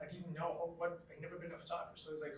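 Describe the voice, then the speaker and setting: A man's high-pitched voice with audible room echo. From Chile. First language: Spanish. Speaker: photographer. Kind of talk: interview. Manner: halting.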